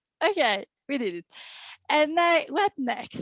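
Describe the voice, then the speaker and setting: The speaker has a strong French accent. The pace is moderate. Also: woman. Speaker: event host, SEO meetup co-founder. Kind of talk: event introduction. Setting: online video call. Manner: halting, many fillers.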